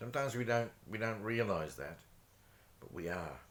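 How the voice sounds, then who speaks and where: A man speaks quietly. His pitch varies in an ordinary way. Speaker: vlogger. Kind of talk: casual chat.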